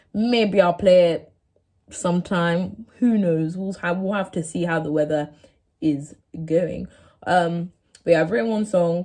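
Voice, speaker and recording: Her tone is dark and mellow, her pitch fairly low, and her pace fairly slow with long, frequent pauses. This woman shows ordinary pitch variation over a quiet background. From England. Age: 18. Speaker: YouTuber, university student. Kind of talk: casual vlog to camera. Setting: home, sitting on floor of dorm room. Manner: casual, filler-heavy. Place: home room. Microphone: phone near.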